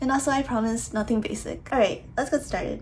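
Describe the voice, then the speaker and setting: A woman's voice with vocal fry. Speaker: college student athlete. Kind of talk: casual talk to camera. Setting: construction noise in background.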